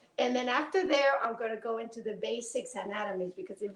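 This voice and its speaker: In a Spanish accent, a woman speaks at a fairly high pitch with ordinary pitch variation. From Spain. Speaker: pelvic floor rehabilitation professor. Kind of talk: presentation lecture.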